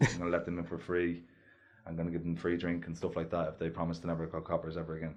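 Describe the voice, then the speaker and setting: A man with a Dublin accent talks at a very fast pace in a very deep, low pitch. His intonation stays monotone and flat against a quiet background. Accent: north inner city Dublin. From Ireland, north inner city Dublin. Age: 20s. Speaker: heavyweight boxer. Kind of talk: casual chat.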